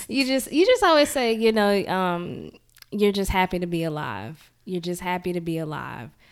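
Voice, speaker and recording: Speaking at a moderate pace with a Mississippi accent, a woman uses lively intonation at medium pitch on a very clean recording with a silent background. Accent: US Southern (Mississippi). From Jackson, Mississippi. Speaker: podcast host. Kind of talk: casual interview.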